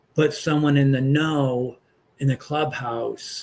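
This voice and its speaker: A man in an American accent sounds somewhat breathy, with monotone, flat intonation. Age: 60s. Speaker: pastor and political commentator. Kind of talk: casual political commentary monologue. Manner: halting, many fillers.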